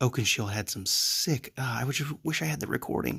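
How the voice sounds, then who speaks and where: The man is soft-spoken and keeps a moderate pace. The recording is very clean, with a silent background. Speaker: gaming video creator. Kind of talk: gameplay commentary. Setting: at home late at night. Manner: halting.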